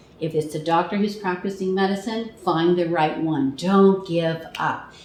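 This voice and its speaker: Moderate pace against noticeable background noise and audible room echo. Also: woman. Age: 60s. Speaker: international speaker and charity fundraiser. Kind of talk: interview. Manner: animated.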